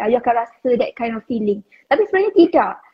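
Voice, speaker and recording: The woman speaks at a high pitch. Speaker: online educator for Instagram branding. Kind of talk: casual live-stream chat.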